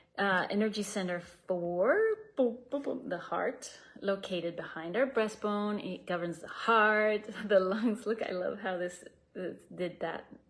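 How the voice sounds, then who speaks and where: A woman with a Spanish accent, medium pitch and a fairly slow pace. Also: ordinary pitch variation. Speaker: meditation teacher. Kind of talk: casual presentation. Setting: video call. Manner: halting.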